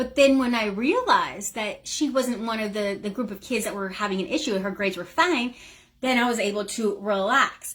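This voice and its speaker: A woman speaks at a fairly quick pace in a fairly high pitch, her tone animated and her pitch variation ordinary. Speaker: business coach. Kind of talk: live stream talk. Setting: live video in online group.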